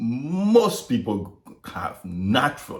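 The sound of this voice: With lively intonation and a slightly mellow tone, a man speaks amid audible room echo.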